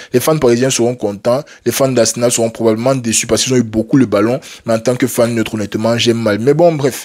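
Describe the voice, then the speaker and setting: The loudness stays very even while the words come at a very fast pace. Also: man, medium pitch for a man. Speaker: football YouTuber. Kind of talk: casual match debrief to camera. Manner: halting, stumbling; animated.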